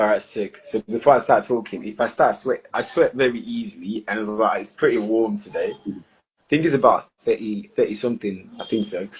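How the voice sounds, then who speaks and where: The delivery is fairly quick. It comes in a British accent. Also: man. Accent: posh British-sounding English from school. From Nigeria, Lagos. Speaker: singer-songwriter. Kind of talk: casual interview chat. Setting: live stream.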